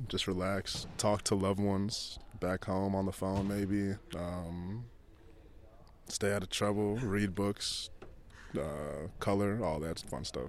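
Very slow delivery with long, frequent pauses and fairly even intonation, in a Chicago accent. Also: man, fairly low pitch for a man. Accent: American, Chicago. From US, Chicago. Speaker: professional basketball player. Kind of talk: interview.

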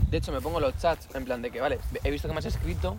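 A man talks very fast while noticeable background noise plays underneath. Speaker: podcast co-host. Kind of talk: casual chat.

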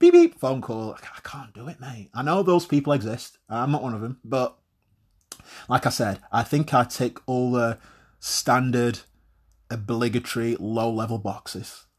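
With a British accent, a man talks at medium pitch with ordinary pitch variation and big swings in loudness, in a very clean recording with a silent background. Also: moderate pace. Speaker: podcast host. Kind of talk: monologue to listeners, casual and confessional. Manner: conversational, self-deprecating, swears casually.

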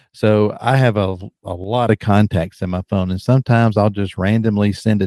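On a very clean recording with a silent background, a man with a Southern US accent speaks in a dark, mellow tone, fairly low in pitch with ordinary pitch variation. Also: dry, close sound with no echo. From South Carolina, US South. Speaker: author, pastor and podcast host. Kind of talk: interview, personal testimony. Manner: occasional stutter, animated.

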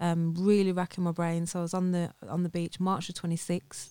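A woman speaks with a Birmingham accent at a moderate pace. Her intonation is monotone and flat. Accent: Birmingham, England. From Birmingham, England. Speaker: entrepreneur, former estate agent owner. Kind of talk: casual interview chat.

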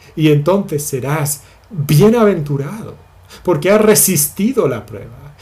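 Over audible room echo, a man speaks at a very slow pace with ordinary pitch variation. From Spain. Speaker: pastor. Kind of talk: sermon. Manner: halting.

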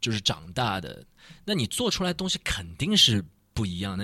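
A man with a medium pitch speaks fairly slowly in a bright, sharp tone, his pitch swinging very widely. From Shanghai. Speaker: rapper. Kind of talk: casual chat. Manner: halting, repeats words.

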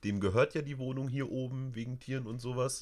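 Talking at a fairly quick pace, a man comes through on a very clean recording over a silent background. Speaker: streamer and podcast host. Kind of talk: casual chat. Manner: animated.

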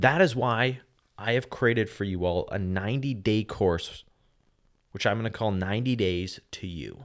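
A man at a moderate pace with ordinary pitch variation, in a very clean recording with a silent background. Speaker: podcast host. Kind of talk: motivational pep talk. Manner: urgent, emphatic, direct; punchy, high-energy, coaching the listener.

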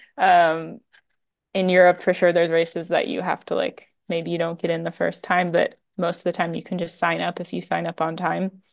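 An American woman with a fairly low pitch speaks in a monotone, flat intonation with vocal fry. Her background is quiet. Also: moderate pace. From United States. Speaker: professional trail runner. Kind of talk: interview conversation.

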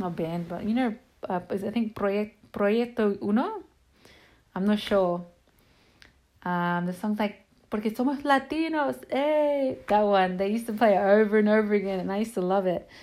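A woman in an Australian accent speaks at a moderate pace, medium in pitch with lively intonation. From Sydney, Australia. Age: 20s. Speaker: social media page admin and podcaster. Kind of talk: casual monologue. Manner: casual, rambling with many fillers.

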